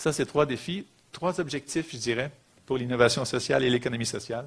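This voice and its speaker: A man at medium pitch speaks at a fairly quick pace. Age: 40s. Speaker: social economy executive, lecturer. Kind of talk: lecture. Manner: fast.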